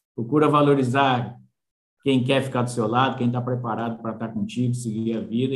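In a room with audible echo, a man speaks at a fairly quick pace and medium pitch with monotone, flat intonation. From São Paulo state interior, Brazil. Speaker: agronomist. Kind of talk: interview.

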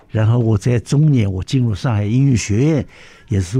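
Dark, mellow tone from a man, somewhat breathy. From Shanghai, China. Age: 80s+. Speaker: orchestra conductor. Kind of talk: interview. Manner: lively.

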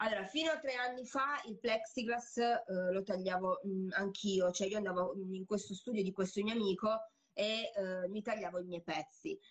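The speaker is a woman with a medium pitch. Her voice varies in pitch in an ordinary way. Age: 40s. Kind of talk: casual chat. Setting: recorded Instagram live. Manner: energetic, fast.

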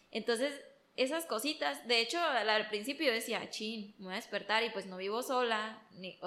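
Noticeable background noise sits under a woman speaking at a fairly quick pace in a fairly high pitch. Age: 20s. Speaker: interior designer. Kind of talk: casual chat.

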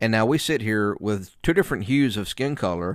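A man with a Southern US accent talks at a moderate pace and medium pitch. His pitch variation is ordinary, and the recording is very clean with a silent background. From US South (Alabama area). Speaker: podcast host, preacher. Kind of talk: casual interview.

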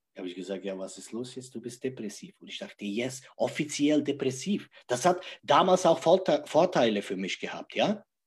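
A man with a medium pitch and a somewhat breathy voice talks at a moderate pace with hardly any pauses, very wide pitch swings and big swings in loudness. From Czech Republic. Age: 40s. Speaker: life coach. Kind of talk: interview. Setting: livestream.

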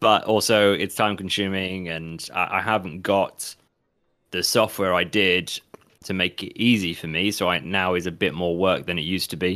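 A bright, sharp tone with an English accent, fairly even intonation and a moderate pace. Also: man, very deep, low pitch for a man. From England. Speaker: podcast co-host. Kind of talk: casual chat.

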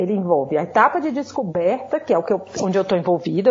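Her pitch swinging very widely, a woman talks at a fairly quick pace with noticeable background noise behind her. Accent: northeastern Brazilian. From Ceará, Brazil. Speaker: pharmacology professor. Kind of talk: interview.

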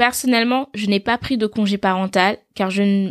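On a very clean recording with a silent background and a dry, close sound with no echo, a woman with a normal speaking voice talks at a moderate pace and medium pitch with fairly even intonation. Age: 20s. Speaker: podcast host, mother. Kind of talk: solo podcast monologue. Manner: warm, conversational.

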